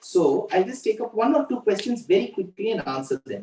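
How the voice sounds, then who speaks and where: This is a man with an Indian accent. He talks at a moderate pace. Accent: Indian English (Tamil). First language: Tamil. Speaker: religious discourse speaker. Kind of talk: religious discourse.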